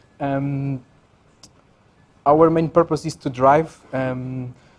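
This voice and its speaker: This man speaks in a fairly high pitch with a monotone, flat intonation. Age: 30s. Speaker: software architect. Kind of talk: conference talk. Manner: hesitant, many fillers.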